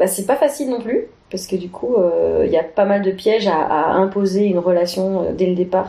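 At a moderate pace, a woman speaks in a dark, mellow tone with medium pitch and ordinary pitch variation. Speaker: improv performer. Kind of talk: casual interview.

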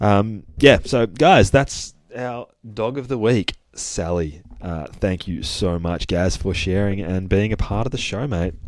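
On a very clean recording with a silent background, a man with an Australian accent speaks fairly slowly in a fairly low voice with ordinary pitch variation. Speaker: dog trainer podcast host. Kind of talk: casual monologue. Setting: studio. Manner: rambling, many fillers.

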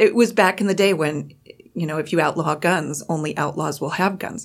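In an ordinary speaking voice, a woman talks at a moderate pace with a fairly low pitch and ordinary pitch variation. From rural Montana. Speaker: gun safety advocate. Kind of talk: radio panel discussion. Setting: studio.

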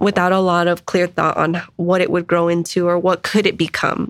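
A woman with an American accent speaks at medium pitch and a fairly slow pace in a very clean recording with a silent background. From Denver, Colorado (East Side, Swansea). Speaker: youth advocacy nonprofit executive director. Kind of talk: interview conversation. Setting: studio.

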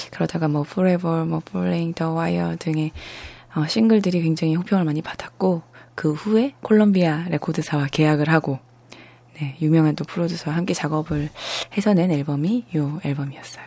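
A woman's very deep, low voice at a moderate pace with ordinary pitch variation. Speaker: radio host. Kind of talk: casual live radio show. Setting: studio.

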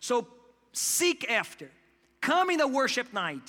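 With a non-native accent, a man talks at a fairly slow pace in a raised, projected voice. His tone is animated, bright and sharp, and his intonation is lively. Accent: foreign. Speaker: pastor. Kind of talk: sermon. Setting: church.

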